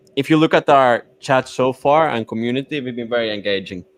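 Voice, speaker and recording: A man with a non-native accent, in dry, close sound with no echo, on a very clean recording with a silent background. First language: not English. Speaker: crypto project founder. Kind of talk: live AMA chat.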